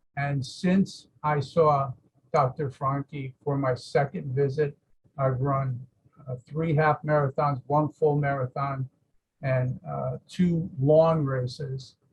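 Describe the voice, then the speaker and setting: A man with a Boston accent speaks very slowly in a somewhat breathy, fairly high voice. His intonation is monotone and flat, and the sound is dry and close with no echo. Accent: Boston-area New England. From Massachusetts. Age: 70s. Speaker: patient giving a testimonial. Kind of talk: testimony. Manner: halting, many fillers.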